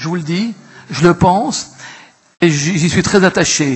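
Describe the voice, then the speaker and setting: This man's voice is high-pitched, with ordinary pitch variation, and he speaks fairly slowly. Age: 70s. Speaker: local elected councillor. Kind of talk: council assembly speech. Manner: halting, repetitive.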